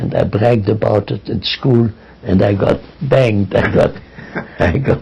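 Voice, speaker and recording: Over noticeable background noise, a man with a fairly low pitch and ordinary pitch variation talks at a moderate pace, with long, frequent pauses. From East Prussia, Germany. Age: 90s. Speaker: Holocaust survivor. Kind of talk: oral history interview.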